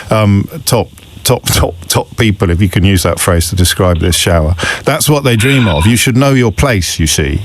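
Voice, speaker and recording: A man's lively intonation stands out over noticeable background noise. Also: moderate pace, very even loudness. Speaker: radio phone-in host. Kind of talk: radio phone-in talk.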